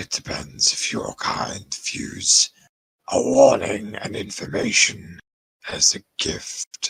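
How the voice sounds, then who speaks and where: A man uses a put-on, raspy character voice and speaks at a very slow pace. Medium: actual play. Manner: gruff, measured, solemn.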